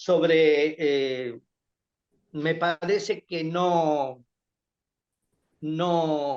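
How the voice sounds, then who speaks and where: A man's fairly high-pitched, fairly even voice at a very slow pace, broken by long, frequent pauses. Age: 70s. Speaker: lawyer and politician. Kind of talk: interview. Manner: halting, frequent repetitions.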